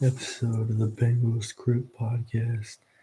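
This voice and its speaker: A man speaks quietly at a medium pitch, somewhat breathy. His tone is dark and mellow. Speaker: sports podcast host. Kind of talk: casual podcast monologue.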